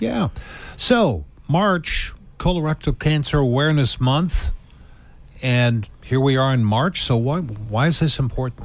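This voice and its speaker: A man with a normal speaking voice talks at a fairly slow pace. His intonation is lively and his loudness very even. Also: medium pitch for a man. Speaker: radio show host. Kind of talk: radio interview questions.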